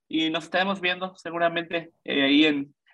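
A man with a high-pitched voice. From Mexico, Yucatán (Mérida). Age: 20s. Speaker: cyclist sharing personal testimony. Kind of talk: testimony.

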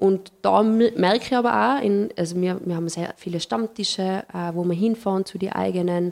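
A woman's ordinary speaking voice at medium pitch, with fairly even intonation. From Tyrol, Paznaun valley (Austria). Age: young. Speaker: hotelier and tourism industry representative. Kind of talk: interview conversation.

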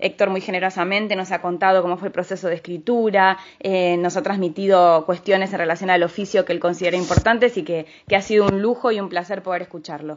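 A woman with a medium-pitched voice talks at a very fast pace, with hardly any pauses and fairly even intonation. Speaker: radio host. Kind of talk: radio book review show.

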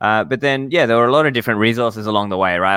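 A man with an Australian accent, fairly low in pitch with a bright, sharp tone, on a very clean recording with a silent background. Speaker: podcast host, Bitcoin commentator. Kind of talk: casual interview.

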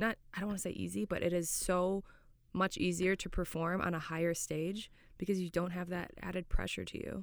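With an American accent, a woman uses an ordinary speaking voice at a fairly low pitch, keeping her intonation fairly even and her pace fairly quick. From Florida, US. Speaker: professional footballer and podcast co-host. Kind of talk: casual chat. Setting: studio.

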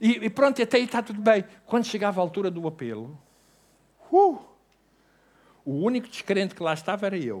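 A man's high, animated voice in a European Portuguese accent, with lively intonation and long, frequent pauses, on a very clean recording with a silent background. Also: fairly quick pace. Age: 60s. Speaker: pastor. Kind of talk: sermon.

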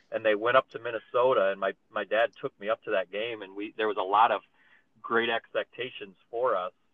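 A man speaks fairly quickly in a medium voice. His intonation stays flat and monotone. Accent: American. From eastern Iowa, US Midwest. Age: 40s. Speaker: basketball coach. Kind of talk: casual chat.

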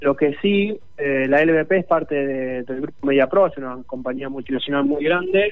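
A man's fairly high voice moves at a moderate speed, its pitch rising and falling in an ordinary way, with noticeable noise in the background. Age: 30s. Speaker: esports league manager. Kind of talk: radio interview. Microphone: weak signal, bad line.

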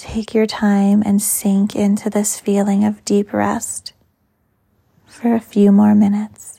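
Very slow and monotone with flat intonation, a woman's somewhat breathy voice carries a dark, mellow, soothing, calm tone. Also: medium pitch for a woman. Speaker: yoga teacher. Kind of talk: guided meditation. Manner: slow, soft, soothing; calm, gentle pacing with long pauses.

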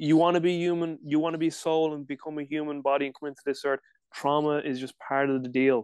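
A man with a Dublin accent talks very fast in a fairly high voice with fairly even intonation. The sound is dry and close, with no echo. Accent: Dublin Irish. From Ireland, Dublin. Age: 30s. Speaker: strength and conditioning coach. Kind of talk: casual chat. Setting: video call.

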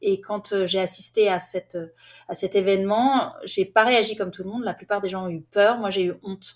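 A woman with an ordinary speaking voice at medium pitch, at a moderate pace with fairly even intonation. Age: 40s. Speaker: author and documentary filmmaker. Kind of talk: interview.

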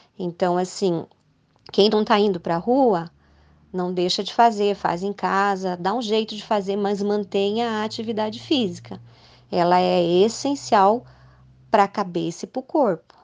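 Ordinary pitch variation comes with a moderate pace in this speech. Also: woman, medium pitch for a woman. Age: 50s. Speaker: ultramarathon runner and cancer survivor. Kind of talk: interview testimony. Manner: halting, with many hesitations.

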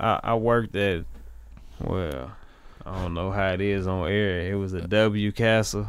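Slowish and fairly even in intonation, a man with an American accent talks in a plain, everyday voice at a fairly low pitch. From US inner city. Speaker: musician, actor and model. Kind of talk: casual chat. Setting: studio.

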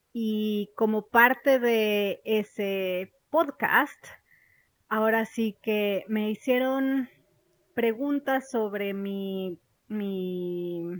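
A woman with a Mexican accent, her fairly high voice showing ordinary pitch variation, in a dry, close sound with no echo. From Mexico. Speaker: podcast host, banking product expert. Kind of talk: casual monologue. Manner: animated.

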